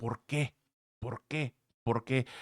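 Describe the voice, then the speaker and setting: In a very clean recording with a silent background, a man speaks at medium pitch with ordinary pitch variation, the sound dry and close with no echo. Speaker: trading analyst YouTuber. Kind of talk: market analysis tutorial. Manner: fast; loud.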